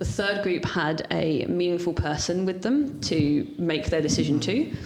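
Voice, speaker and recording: A woman's pitch varies in a normal way as clearly audible noise and room echo surround her speech. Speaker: ADHD leadership coach. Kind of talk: casual interview chat. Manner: fast.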